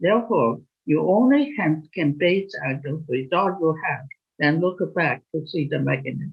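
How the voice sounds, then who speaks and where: A woman with a fairly low pitch and vocal fry talks at a fairly slow pace, her intonation lively. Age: 80s+. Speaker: molecular biology professor. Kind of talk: interview. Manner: halting.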